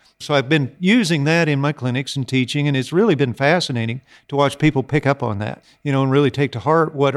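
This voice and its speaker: A man's plain, everyday voice with an American accent, fairly high in pitch with ordinary variation, at a fairly quick pace with hardly any pauses, dry and close with no echo. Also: very clean recording, silent background. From US Midwest (Iowa). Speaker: horse trainer. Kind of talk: casual interview chat.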